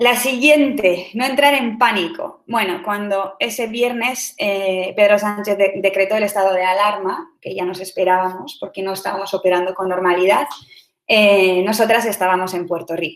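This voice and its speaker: This woman's medium-pitched voice shows ordinary pitch variation. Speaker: startup CEO. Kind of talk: online talk. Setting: online session. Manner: fast.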